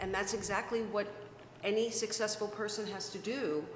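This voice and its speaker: A woman of medium pitch at a fairly slow pace, with audible room echo and noticeable background noise. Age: 60s. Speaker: webcast host and success coach. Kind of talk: casual interview chat.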